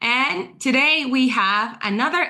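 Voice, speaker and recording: In a Spanish accent, a woman speaks with a bright, sharp tone against a quiet background. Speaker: online event host, former teacher. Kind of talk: live webinar hosting. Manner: animated.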